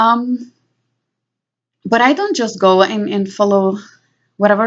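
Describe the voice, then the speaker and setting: A woman speaks with a Spanish accent at a fairly slow pace. Her pitch is medium, with ordinary variation. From Puerto Rico. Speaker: vlogger. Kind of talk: personal monologue. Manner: halting.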